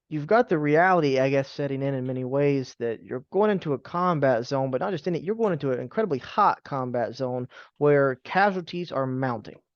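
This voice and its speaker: A man's fairly high voice at a fairly quick pace with hardly any pauses, an ordinary speaking voice with ordinary pitch variation. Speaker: oral history interviewer. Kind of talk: interview questions.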